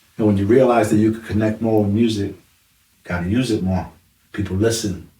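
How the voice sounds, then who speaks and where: This man has a New York accent and a somewhat breathy voice. He talks at a fairly quick pace with a fairly low pitch and monotone, flat intonation. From New York, the Bronx. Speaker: hip hop artist. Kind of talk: casual interview. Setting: studio.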